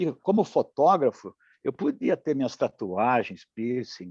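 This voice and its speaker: Recorded dry and close with no echo, a man with a dark, mellow tone and a fairly high pitch talks at a fairly slow pace. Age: 60s. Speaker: rock musician. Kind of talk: casual interview.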